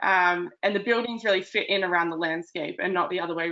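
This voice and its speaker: With an Australian accent, a woman uses vocal fry at a fairly low pitch, speaking at a fairly quick pace with ordinary pitch variation. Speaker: town planner. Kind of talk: webinar presentation. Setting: online webinar. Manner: hesitant, many ums and uhs.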